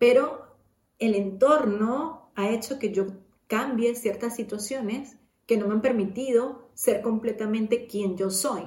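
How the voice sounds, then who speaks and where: At a very slow pace, a somewhat breathy voice speaks with fairly even intonation. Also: woman, fairly high pitch for a woman. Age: 30s. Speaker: podcast host. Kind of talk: personal monologue. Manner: casual, with many fillers.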